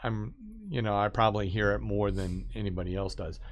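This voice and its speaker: A man is speaking. Room echo is audible. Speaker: live streamer. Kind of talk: casual livestream talk. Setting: live stream. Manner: rambling with many fillers.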